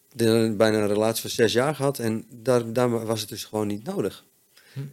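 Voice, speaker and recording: The speaker keeps a moderate pace, with long, frequent pauses. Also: man. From Netherlands, Friesland. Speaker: chef in addiction recovery. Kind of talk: interview, personal testimony. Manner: halting, many fillers.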